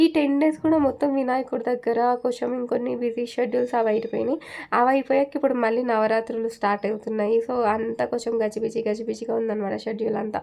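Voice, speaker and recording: Her intonation fairly even, a woman speaks at a fairly high pitch in a dark, mellow tone. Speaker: vlogger. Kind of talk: casual vlog narration.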